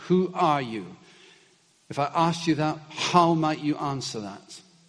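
A man with a fairly high pitch speaks slowly-ish with lively intonation, with audible room echo and noticeable background noise. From Scotland. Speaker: preacher. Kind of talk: sermon.

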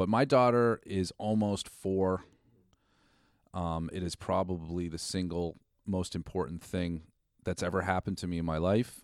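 In an American accent, the speaker talks at a moderate pace with ordinary pitch variation and long, frequent pauses, on a very clean recording with a silent background. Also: man, very deep, low pitch for a man. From Massachusetts. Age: 40s. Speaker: state legislator. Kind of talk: casual chat. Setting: office at the state house.

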